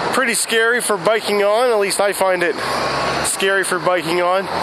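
Over loud background noise, the speech moves at a moderate pace in a dry sound with no echo. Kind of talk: casual vlog chat. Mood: relaxed, calm. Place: street. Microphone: headset.

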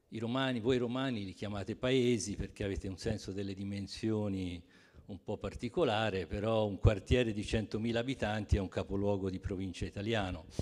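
Over a quiet background, a man talks at a fairly quick pace in a fairly low pitch with fairly even intonation. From Rome. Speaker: publisher. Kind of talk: book presentation talk. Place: hall. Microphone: handheld.

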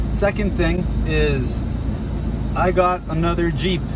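Loud background noise fills the recording. A man is speaking. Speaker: car vlogger. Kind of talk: casual vlog chat. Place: car. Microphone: phone near.

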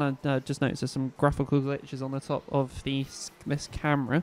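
The tone is relaxed, and the recording is very clean with a silent background. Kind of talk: live race commentary. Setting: kart circuit commentary over race footage. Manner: relaxed, chatty, laughs and ad-libs.

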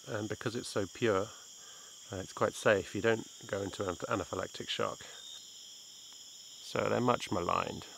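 A man speaks at a fairly low pitch. Noticeable background noise runs behind him. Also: dry sound with no echo. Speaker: presenter. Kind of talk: casual nature explanation to camera.

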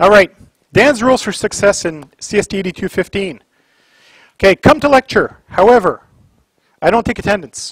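Against a quiet background, a man with a high pitch and lively intonation talks at a moderate pace with long, frequent pauses, in a dry sound with no echo. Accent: Canadian. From Canada, Ottawa area. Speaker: college instructor. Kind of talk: lecture. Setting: classroom. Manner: casual. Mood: relaxed, sarcastic humor. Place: classroom.

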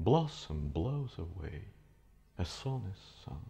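The voice is somewhat breathy, with a dark, mellow tone. It moves at a very slow pace. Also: man. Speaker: actor. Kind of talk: poetry reading. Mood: wistful, reflective. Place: studio.

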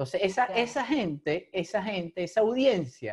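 Against a quiet background, a man with a high-pitched voice talks with very wide pitch swings. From Venezuela. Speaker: podcast host. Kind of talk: casual interview chat. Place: home room. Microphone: video call.

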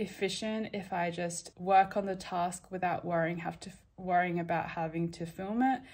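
A woman speaks at a moderate pace with monotone, flat intonation. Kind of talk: casual vlog chat. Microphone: phone near.

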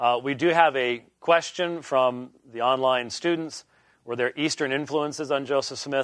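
The recording is dry with no echo and a quiet background as a man speaks at a fairly quick pace with ordinary pitch variation. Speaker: lecturer. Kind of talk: lecture. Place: classroom. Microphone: lapel.

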